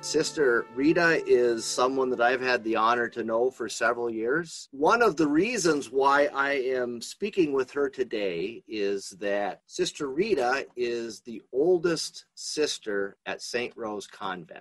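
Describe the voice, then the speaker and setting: In an unremarkable speaking voice, a man at medium pitch talks at a fairly slow pace with lively intonation and hardly any pauses. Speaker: podcast host, spirituality center associate director. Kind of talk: podcast interview questions.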